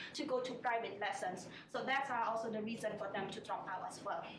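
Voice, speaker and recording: With a Cambodian accent, a woman talks at a fairly quick pace amid audible room echo and noticeable background noise. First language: Khmer. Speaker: MBA student. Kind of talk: student presentation. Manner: halting, many fillers.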